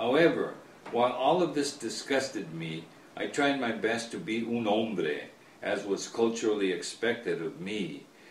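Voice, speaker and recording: At a moderate pace, a man with an American accent speaks in an ordinary speaking voice with a medium pitch. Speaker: author. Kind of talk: author reading his own book, storytelling.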